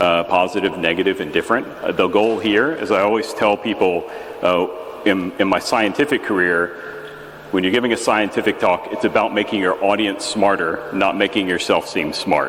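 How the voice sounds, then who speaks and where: In an American accent, a man speaks at a moderate pace and fairly low pitch with ordinary pitch variation, amid noticeable background noise and audible room echo. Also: very even loudness. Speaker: geologist giving a conference talk. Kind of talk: lecture. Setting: stage with audience. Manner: halting, with many fillers.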